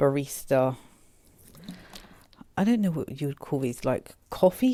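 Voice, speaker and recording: A woman with an English accent speaks in a dark, mellow tone. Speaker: food and lifestyle vlogger. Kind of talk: product review vlog. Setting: home, late at night.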